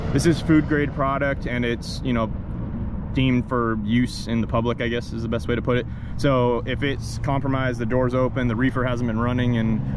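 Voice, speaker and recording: A man talks at a fairly quick pace in a dry sound with no echo. There is noticeable background noise. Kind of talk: commentary. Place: open country. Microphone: phone near.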